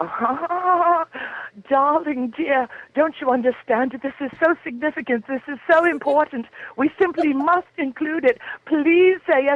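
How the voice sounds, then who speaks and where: High-pitched and whiny, a put-on character voice moves at a fairly slow pace. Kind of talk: posh, sweet, theatrical. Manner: whining, pleading.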